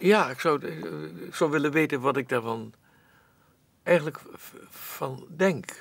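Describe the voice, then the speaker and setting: A man with a fairly high voice and vocal fry talks at a very slow pace. His loudness swings widely, and the sound is dry with no echo. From Netherlands. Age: 80s+. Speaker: actor. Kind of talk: interview answer. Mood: reflective, musing. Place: studio.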